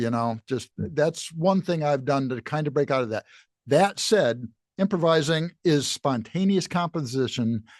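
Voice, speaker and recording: A man's fairly high, unremarkable speaking voice at a fairly slow pace, dry and close with no echo over a quiet background. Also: lively intonation. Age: 60s. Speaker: university jazz professor and musician. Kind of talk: casual interview chat.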